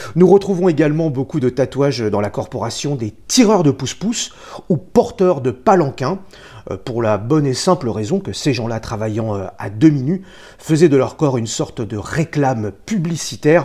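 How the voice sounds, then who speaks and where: With a fairly high pitch and very wide pitch swings, a man speaks at a fairly slow pace in a dark, mellow, somewhat breathy tone. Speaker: tattoo artist. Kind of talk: scripted narration.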